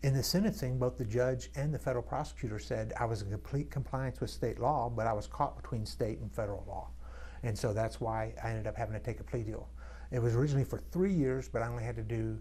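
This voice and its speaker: A man talks at a very fast pace amid audible room echo. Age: 60s. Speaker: congressional candidate. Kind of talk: interview. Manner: halting.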